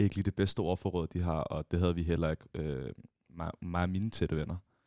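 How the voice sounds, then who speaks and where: A man with a very deep, low pitch is recorded dry and close with no echo, in a very clean recording with a silent background. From Copenhagen, Valby. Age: 20s. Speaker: law student and gaming entrepreneur. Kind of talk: interview. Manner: halting, many repetitions.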